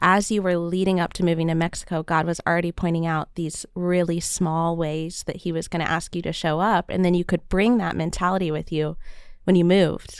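A fairly low-pitched woman at a fairly quick pace with monotone, flat intonation, in a very clean recording with a silent background. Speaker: podcast host. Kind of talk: casual interview.

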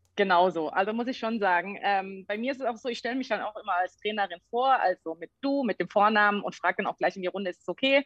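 At a medium pitch with ordinary pitch variation, a woman talks at a very fast pace with hardly any pauses. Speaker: sports scientist and fitness trainer. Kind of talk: casual interview. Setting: video call.

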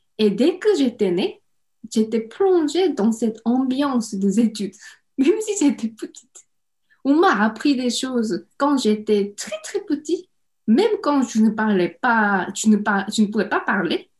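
A woman's fairly high voice in a Korean accent, very slow, with very wide pitch swings. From South Korea, Seoul. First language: Korean (speaking French). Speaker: home cook and online cooking creator. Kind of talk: interview.

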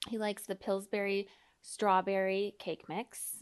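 The woman's pace is fairly slow. Her voice sits at a medium pitch. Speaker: podcast host and therapist. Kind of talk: casual chat.

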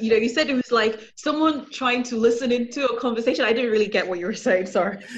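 Through noticeable background noise, a woman talks at a very fast pace in a high voice with ordinary pitch variation. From London, England. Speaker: podcast host. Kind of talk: casual chat, interview. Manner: chatty, upbeat, talkative.

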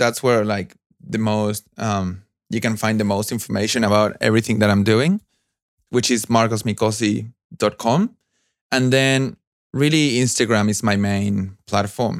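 On a very clean recording with a silent background, a man with a Spanish accent speaks at a fairly slow pace, medium in pitch, with ordinary pitch variation. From Argentina. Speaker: new media artist and audio engineer. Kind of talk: interview. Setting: call.

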